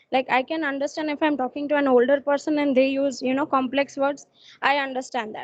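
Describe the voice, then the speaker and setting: A woman with a Gujarati accent speaks at a fairly quick pace in a high pitch. The background is quiet. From Gujarat, India. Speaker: student. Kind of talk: class discussion.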